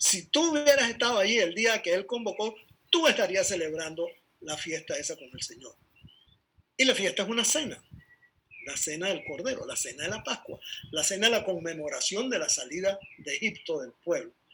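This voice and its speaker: A raised, projected male voice, high in pitch, at a moderate pace, with very wide pitch swings and big swings in loudness. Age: 70s. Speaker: bible teacher. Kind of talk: bible study talk.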